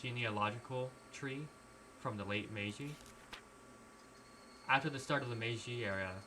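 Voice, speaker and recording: Moderate pace with long, frequent pauses, plus audible room echo and noticeable background noise. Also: man, medium pitch for a man, ordinary pitch variation. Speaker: streamer. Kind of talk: reading aloud; casual chat. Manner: halting.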